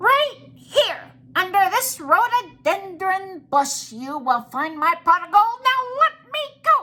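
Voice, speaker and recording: In a put-on character voice, the speaker goes at a fairly slow pace with an extremely high pitch and very wide pitch swings. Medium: read story. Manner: cheeky, squirming, indignant.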